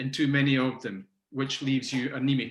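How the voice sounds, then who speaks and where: A man speaks with a Scottish accent. His pitch is fairly high. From Scotland. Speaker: macrobiotics teacher and nutrition consultant. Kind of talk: interview. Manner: hesitant, many fillers.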